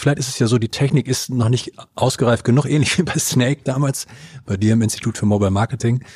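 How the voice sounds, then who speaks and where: At a very fast pace, a man speaks somewhat breathy, with ordinary pitch variation. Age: 40s. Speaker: podcast host. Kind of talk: interview.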